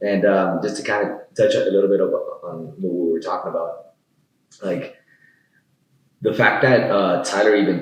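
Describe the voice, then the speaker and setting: A man talks at a moderate pace, leaving long, frequent pauses. Room echo is audible. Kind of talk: casual chat.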